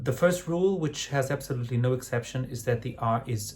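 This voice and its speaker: At a moderate pace, the speaker has a somewhat breathy voice, a Portuguese accent, and ordinary pitch variation. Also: man. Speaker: opera director and vocal coach. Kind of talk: tutorial. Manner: hesitant with fillers.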